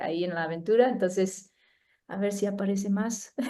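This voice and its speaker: Speaking with a non-native accent, a woman uses a medium pitch, fairly even intonation, and a dark, mellow tone. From United States. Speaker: neuroscientist. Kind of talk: talk presentation. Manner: halting.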